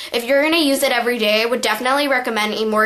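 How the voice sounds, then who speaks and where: A high-pitched woman's voice comes through alongside noticeable background noise. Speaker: beauty vlogger. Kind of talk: tutorial. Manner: casual, filler-heavy.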